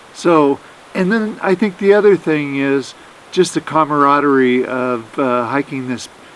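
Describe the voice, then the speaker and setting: A man with a fairly high pitch speaks at a moderate pace over noticeable background noise. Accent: American. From Oregon, US Pacific Northwest. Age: 60s. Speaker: hiker. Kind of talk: casual interview on trail.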